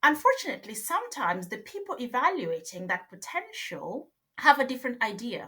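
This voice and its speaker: A high-pitched woman speaks in a raised, projected voice at a fairly quick pace, her tone bright and sharp and her pitch swinging very widely. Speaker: organisational psychologist. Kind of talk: podcast interview.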